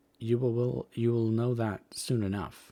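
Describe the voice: Putting on a gruff character voice, a man speaks at a fairly slow pace, medium in pitch, with monotone, flat intonation.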